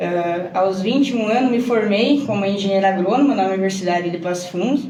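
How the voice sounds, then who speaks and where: A woman in a Rio Grande do Sul accent at a moderate pace, with ordinary pitch variation and audible room echo. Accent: southern Brazilian gaúcho Portuguese. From Brazil, Rio Grande do Sul. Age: 20s. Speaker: agronomist and farmer. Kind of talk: podcast interview.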